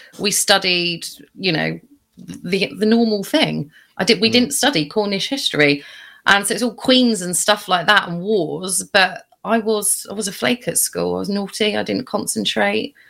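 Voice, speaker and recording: A woman speaks at a moderate pace with a medium pitch and ordinary pitch variation. Her tone is bright and sharp, with vocal fry. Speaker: podcast co-host. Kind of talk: casual chat.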